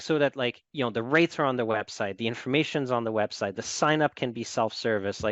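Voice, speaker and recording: Speaking at a fairly quick pace with hardly any pauses, a man keeps a medium pitch and ordinary pitch variation. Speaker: fintech company founder. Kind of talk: casual interview.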